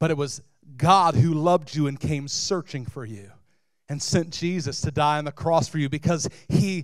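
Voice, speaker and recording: In a dry recording with no echo, a man speaks at a fairly slow pace in an animated tone. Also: quiet background. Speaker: lead pastor. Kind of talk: sermon. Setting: church. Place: stage. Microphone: handheld.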